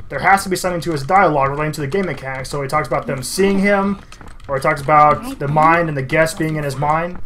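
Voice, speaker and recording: Over noticeable background noise, a man talks at a very fast pace, his pitch fairly high with ordinary variation. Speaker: gaming YouTuber. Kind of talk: gameplay commentary.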